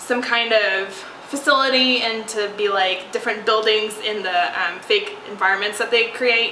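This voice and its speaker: A woman's fairly high voice at a moderate pace with ordinary pitch variation, along with audible room echo and noticeable background noise. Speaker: podcast host. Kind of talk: casual chat. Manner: hesitant, many fillers.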